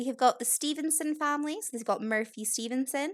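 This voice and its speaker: A woman speaks with a Scottish accent. Her pitch variation is ordinary. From Scotland. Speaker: gaming YouTuber. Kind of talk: casual game walkthrough commentary.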